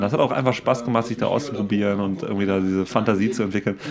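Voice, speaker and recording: A very fast-talking man with a fairly low pitch over noticeable background noise. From Siegerland, Germany. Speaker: podcast co-host. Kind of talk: casual chat.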